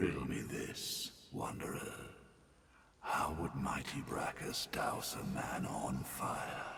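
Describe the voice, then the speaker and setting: A man speaks in a put-on character voice, very deep and low in pitch and raspy. His pace is very slow, with clear background noise behind him. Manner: riddling, menacing.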